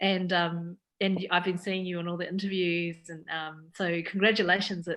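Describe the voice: Fairly low-pitched with little pitch movement, a woman talks at a moderate pace in a fairly bright tone.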